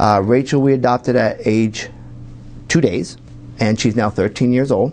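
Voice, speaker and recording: With a northeastern Pennsylvania accent, a man speaks at a medium pitch and moderate pace, with ordinary pitch variation and very even loudness. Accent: northeastern Pennsylvania American. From northeastern Pennsylvania, Wilkes-Barre. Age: 50s. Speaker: pharmacist and political candidate. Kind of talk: TV interview. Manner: halting.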